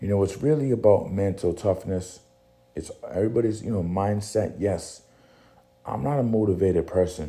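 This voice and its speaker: With an American accent, a man speaks in a very deep, low pitch and a dark, mellow tone, somewhat breathy, with ordinary pitch variation. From New Bedford, Massachusetts. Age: 40s. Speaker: podcaster, former personal trainer. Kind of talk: motivational monologue.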